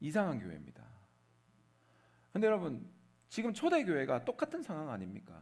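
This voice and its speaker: A man on a very clean recording, silent background. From Korea, Seoul. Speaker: pastor. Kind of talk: sermon.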